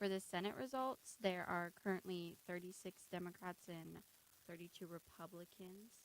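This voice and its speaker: Here is a soft-spoken woman at medium pitch. Her intonation stays fairly even. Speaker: student journalist. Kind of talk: reading election results. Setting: radio studio. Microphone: too quiet, has to be close to mic.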